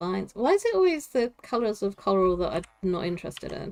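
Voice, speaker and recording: A woman with a Southeast English accent speaks at a fairly quick pace. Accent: Southeast England. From Southeast England. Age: 40s. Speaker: gaming streamer. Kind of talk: live stream chat while gaming. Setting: live stream.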